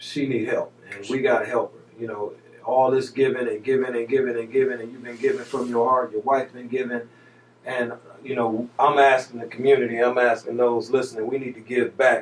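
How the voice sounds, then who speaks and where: At a moderate pace, a man talks in a medium pitch with fairly even intonation and an unremarkable speaking voice. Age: 50s. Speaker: radio host. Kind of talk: radio talk show.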